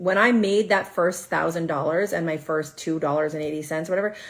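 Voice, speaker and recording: Noticeable background noise sits under the speech. The delivery is fairly quick, with ordinary pitch variation. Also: woman. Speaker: social media side hustle coach and therapist. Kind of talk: live stream Q&A. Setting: social media livestream. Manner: fast; animated.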